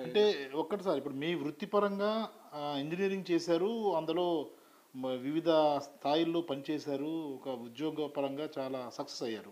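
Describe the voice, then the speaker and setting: In a normal speaking voice, a man speaks at a fairly high pitch with ordinary pitch variation. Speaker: interviewer. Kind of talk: interview questions. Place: home room. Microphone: lapel.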